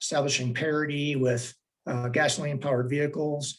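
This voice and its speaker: Somewhat breathy, a man's voice moves along at a moderate pace. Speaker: transportation planning agency director. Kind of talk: public board meeting staff report.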